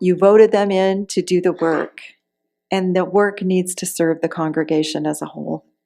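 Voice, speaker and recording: A woman with a plain, everyday voice speaks at a medium pitch and a moderate pace, her intonation fairly even. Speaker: interim minister. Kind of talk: sermon to a congregation.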